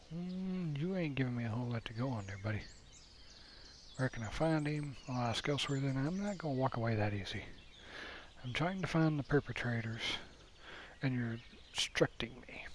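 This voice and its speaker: A quiet man at a medium pitch, talking at a fairly quick pace with lively intonation and long, frequent pauses. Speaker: gaming let's player. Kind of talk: gameplay commentary. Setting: home at night. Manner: quiet, low volume.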